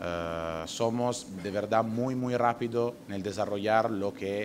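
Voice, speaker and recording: Against noticeable background noise, a man with an Italian accent speaks at a fairly slow pace. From Italy. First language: Italian (speaking Spanish). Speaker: nature tourism company director. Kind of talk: conference presentation. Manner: halting, with fillers.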